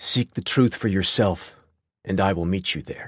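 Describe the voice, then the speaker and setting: A man growls in a put-on character voice at a fairly low pitch. His pace is moderate against a quiet background. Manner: mock deep, solemn, ironic.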